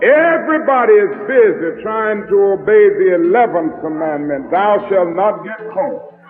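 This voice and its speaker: A man talks at a high pitch with noticeable noise behind him. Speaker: preacher. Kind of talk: sermon delivered to a congregation.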